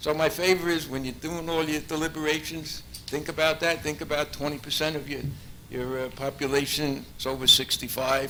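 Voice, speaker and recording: Amid noticeable background noise and audible room echo, a man talks at a fairly quick pace with a fairly high pitch and fairly even intonation. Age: 70s. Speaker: public commenter at council meeting. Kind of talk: public comment speech. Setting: council meeting hall.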